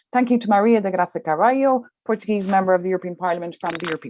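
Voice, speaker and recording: In a dry, close sound with no echo, a woman with an Irish accent talks at a very fast pace with ordinary pitch variation. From Ireland. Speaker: journalist, event moderator. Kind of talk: panel moderation.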